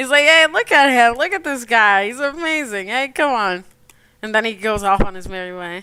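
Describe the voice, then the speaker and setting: A woman's fairly high, bright, sharp voice, animated in tone, with lively intonation and a fairly quick pace. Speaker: digital artist streamer. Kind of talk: casual chat. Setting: live stream.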